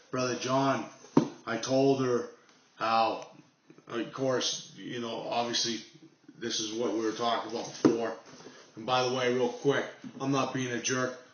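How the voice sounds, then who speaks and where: Speaking at a fairly slow pace with long, frequent pauses, a man with a medium pitch keeps a monotone, flat intonation amid noticeable background noise and audible room echo. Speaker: knife channel vlogger. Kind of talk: casual unboxing vlog.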